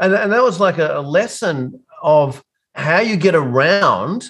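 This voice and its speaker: A man with an Australian accent speaks in a high pitch with lively intonation. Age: 50s. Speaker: business coach for accounting firms. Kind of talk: casual interview.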